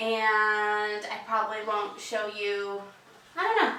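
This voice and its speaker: A woman's fairly high voice at a fairly slow pace, with audible room echo. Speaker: home decor vlogger. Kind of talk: casual tutorial. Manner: casual with filler ums.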